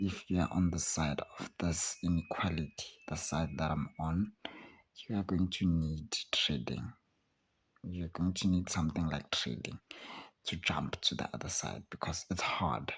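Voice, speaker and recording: Very deep and low in pitch, a man talks at a fairly slow pace with vocal fry and ordinary pitch variation. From South Africa, Soweto, Johannesburg. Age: 20s. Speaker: student and aspiring trader, channel owner. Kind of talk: casual vlog monologue.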